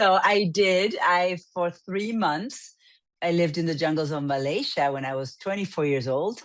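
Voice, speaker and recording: A woman with an Argentine accent speaks at a fairly low pitch and a moderate pace, with ordinary pitch variation, against a quiet background. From Argentina. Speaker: business coach. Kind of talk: interview.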